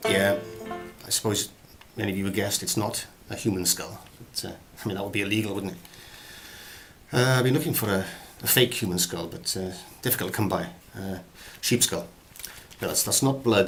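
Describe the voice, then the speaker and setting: With a Welsh accent, a man speaks in a serious tone at a fairly low pitch. His pace is fairly quick, broken by long, frequent pauses. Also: ordinary pitch variation. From Wales. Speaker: actor. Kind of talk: comic acting tutorial to camera. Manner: mock-serious, rambling.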